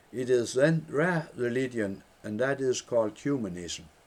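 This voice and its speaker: A man with a Danish accent, medium pitch and lively intonation, at a fairly slow pace. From Denmark. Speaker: former headmaster. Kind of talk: reading own book aloud.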